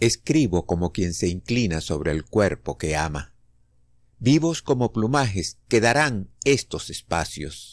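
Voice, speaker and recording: At a very slow pace, a man with a very deep, low pitch swings his pitch very widely, in a very clean recording with a silent background. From Venezuela. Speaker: poetry reader. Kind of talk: poetry reading.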